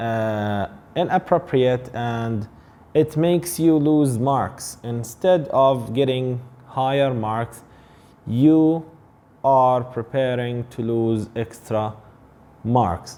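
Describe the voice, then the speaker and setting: Speaking at a very slow pace with long, frequent pauses, a man with an Arabic accent uses a medium pitch and ordinary pitch variation. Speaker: English teacher. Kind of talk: tutorial.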